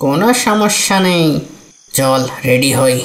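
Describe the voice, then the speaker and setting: A cartoonish character voice at a middle pitch. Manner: hushed, conspiratorial.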